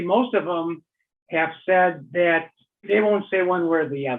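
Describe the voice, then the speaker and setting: A man talks in a high pitch. His pitch variation is ordinary. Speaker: guitarist. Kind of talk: interview testimony. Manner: halting.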